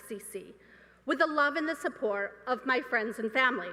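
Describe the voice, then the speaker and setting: A high-pitched woman with a raised, projected voice, very wide pitch swings and big swings in loudness, at a moderate pace over noticeable background noise. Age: 50s. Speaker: student speaker. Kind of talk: commencement speech. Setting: stage with audience.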